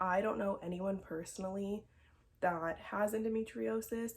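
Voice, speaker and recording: This woman's voice sits at a medium pitch and is somewhat breathy. Her intonation is lively. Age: 20s. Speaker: vlogger sharing health experience. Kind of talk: personal vlog testimony. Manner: casual, with frequent fillers.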